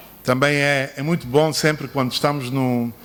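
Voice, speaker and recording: His intonation holds fairly even. The man has a non-native accent. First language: not Portuguese (speaking Portuguese). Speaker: son of the book's subject, speaker. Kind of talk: formal speech. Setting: book launch ceremony. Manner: halting.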